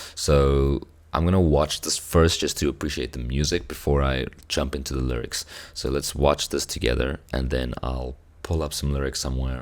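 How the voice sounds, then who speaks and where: Very deep and low, a man's voice carries a South African accent. He keeps a moderate pace and fairly even intonation. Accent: South African (Afrikaans) English. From South Africa, Cape Town. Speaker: music reaction youtuber. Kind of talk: casual chat. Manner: halting.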